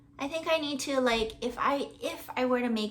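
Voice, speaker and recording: A Hawaiian accent with ordinary pitch variation. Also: woman. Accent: Hawaiian American English. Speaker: crochet podcaster. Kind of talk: casual chat. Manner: hesitant, many fillers.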